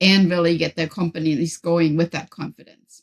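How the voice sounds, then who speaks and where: With a German accent, the speaker moves at a fairly quick pace in a dry, close sound with no echo. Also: woman. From Germany. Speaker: professor and author. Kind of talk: podcast interview.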